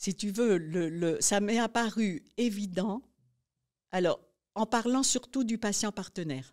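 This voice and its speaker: A woman's medium-pitched voice, very slow, with long, frequent pauses and ordinary pitch variation, in a very clean recording with a silent background. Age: 70s. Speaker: nurse educator. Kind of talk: interview. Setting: podcast interview.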